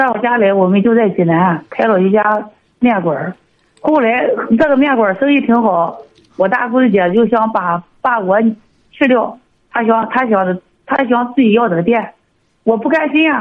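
A woman's fairly high voice with lively intonation and very even loudness, at a moderate pace with long, frequent pauses. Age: 40s. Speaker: radio call-in caller, noodle shop owner. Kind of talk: phone-in advice call. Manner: halting.

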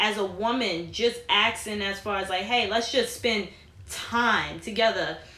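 Noticeable background noise is present. Over it, a woman talks at a fairly slow pace. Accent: New York. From New York. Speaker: podcast host. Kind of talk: casual chat.

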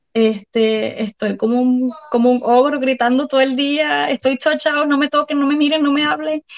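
The voice moves at a moderate pace with hardly any pauses, very even loudness and ordinary pitch variation, in a dry, close sound with no echo. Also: woman, high pitch for a woman. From Puerto Rico. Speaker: violinist and mother. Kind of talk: casual interview.

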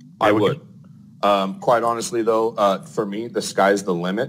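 Here is a man speaking at a moderate pace with an American accent. He has a plain, everyday voice and a fairly low pitch. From Arizona. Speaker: plumbing company owner. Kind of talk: casual interview.

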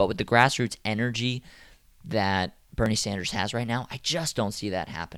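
A man with an American accent and a plain, everyday voice, medium pitch, ordinary pitch variation, moderate pace, in a very clean recording with a silent background. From Atlanta, US South. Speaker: politics podcast host. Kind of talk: solo news commentary podcast. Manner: casual, conversational.

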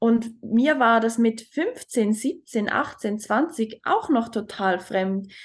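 Against a quiet background, a woman with a Swiss German accent and a fairly high pitch talks at a very slow pace, with ordinary pitch variation and hardly any pauses. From Switzerland. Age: 20s. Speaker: talent mentor. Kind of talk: personal testimony in interview.

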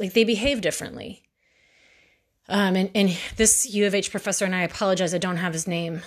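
At a fairly quick pace, a woman with a Texan accent speaks at a medium pitch with fairly even intonation. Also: very clean recording, silent background. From Texas, Houston. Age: 40s. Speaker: true crime podcaster. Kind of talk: monologue narrating a true crime case. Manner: halting, many fillers.

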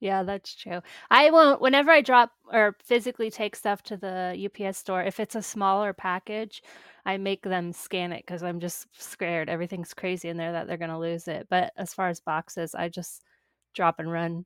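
In an American accent, a woman with an unremarkable speaking voice talks at a moderate pace and medium pitch, with ordinary pitch variation and big swings in loudness, captured dry and close with no echo on a very clean recording with a silent background. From small-town US. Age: 30s. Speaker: podcast host. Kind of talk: interview.

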